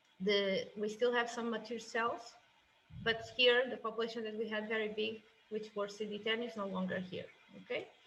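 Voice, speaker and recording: Against noticeable background noise, a woman with a fairly high pitch speaks in a monotone, flat intonation. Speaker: software product specialist. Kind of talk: tutorial. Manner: fast.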